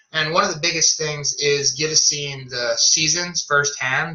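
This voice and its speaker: A man's fairly high voice, fairly slow and fairly even in intonation, with noticeable background noise. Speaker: zipline tour manager. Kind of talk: online presentation and Q&A.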